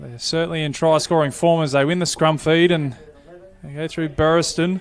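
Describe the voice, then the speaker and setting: With an Australian accent, a man talks at a moderate pace in a fairly high pitch and monotone, flat intonation. His loudness swings widely, and noticeable background noise sits behind him. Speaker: rugby league commentator. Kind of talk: live commentary. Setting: stadium.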